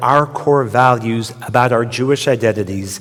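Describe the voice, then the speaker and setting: Noticeable background noise surrounds a man with an American accent. He speaks at a fairly slow pace with ordinary pitch variation. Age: 60s. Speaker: rabbi. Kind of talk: sermon.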